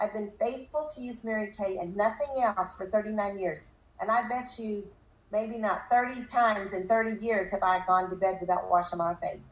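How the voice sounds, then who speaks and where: Here a woman has an unremarkable speaking voice with a fairly high pitch. She speaks at a moderate pace with ordinary pitch variation. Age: 60s. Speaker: direct sales leader. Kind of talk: motivational talk.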